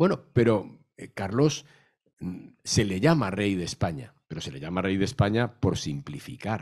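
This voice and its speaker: Speaking at a fairly slow pace, a man with a fairly low pitch makes very wide pitch swings against a quiet background. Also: big swings in loudness. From Madrid, Spain; Spain. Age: 60s. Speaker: novelist and historian; guest. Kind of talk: panel talk. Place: hall. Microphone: handheld.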